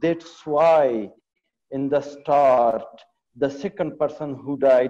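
A man speaks very slowly in a fairly high pitch with fairly even intonation. His tone is dark and mellow, and the background is quiet. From Afghanistan. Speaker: pediatric surgeon; panelist. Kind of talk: webinar presentation. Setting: video call. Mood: serious, concerned. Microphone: video call.

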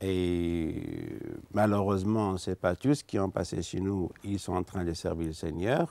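Fairly slow, fairly low-pitched male speech, dry with no echo, against a quiet background. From Algeria. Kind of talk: testimony interview; interview answer. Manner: halting. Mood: earnest, calm. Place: studio. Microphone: lapel.

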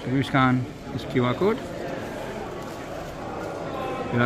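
Noticeable background noise underlies a voice that keeps a moderate pace and shows ordinary pitch variation. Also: man. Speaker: LEGO reseller vlogger. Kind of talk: casual vlog commentary. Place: hall. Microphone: phone near.

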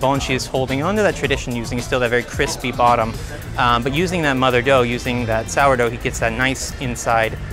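Speaking very fast, a man is heard over clear background music. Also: dry sound with no echo. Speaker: food guide. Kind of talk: interview answer. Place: street. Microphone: lapel.

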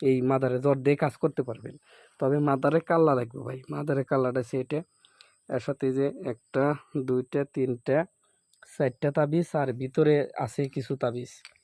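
A man's medium-pitched voice, dark and mellow, in a monotone, flat delivery, on a very clean recording with a silent background and a dry, close sound with no echo. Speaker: folk healer. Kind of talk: sales pitch; casual chat.

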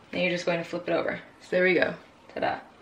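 A woman talks with noticeable background noise behind her. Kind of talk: tutorial. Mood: relaxed, cheerful. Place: kitchen.

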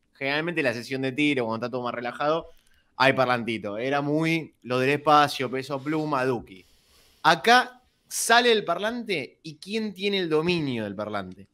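With very wide pitch swings, a man speaks at a moderate pace in a fairly high pitch. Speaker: sports podcast co-host. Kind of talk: interview.

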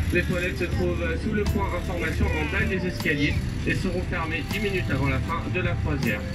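A man talking fairly quickly over loud background noise. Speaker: tour boat guide. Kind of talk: announcement and tour commentary. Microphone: pa.

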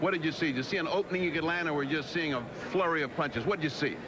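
A man at a fairly high pitch and very fast pace, with ordinary pitch variation over clear background noise

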